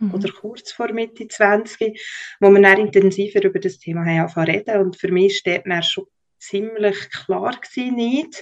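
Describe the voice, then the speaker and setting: A woman with a normal speaking voice talks at a fairly slow pace, her pitch medium and its variation ordinary. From Switzerland, Bernese Oberland (Lake Thun). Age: 30s. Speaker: podcast guest, communications professional. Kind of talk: personal interview.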